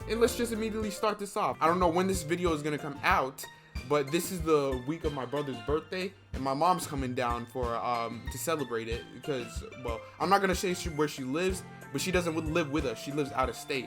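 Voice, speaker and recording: Over music in the background, a man talks fairly quickly with lively intonation and a fairly high pitch. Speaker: gaming YouTuber. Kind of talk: casual talk to camera.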